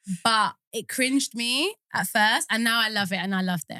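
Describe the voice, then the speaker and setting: A woman with a British accent sounds animated, her intonation lively, in a dry, close recording with no echo. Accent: British, leaning towards RP, a bit posh. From UK. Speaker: actor and performer. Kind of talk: casual chat.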